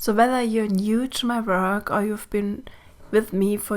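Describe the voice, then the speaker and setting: A woman speaks with a German accent at a medium pitch. Her intonation is monotone and flat. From Germany. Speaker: mentor and podcast host. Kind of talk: podcast monologue. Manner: gentle, warm.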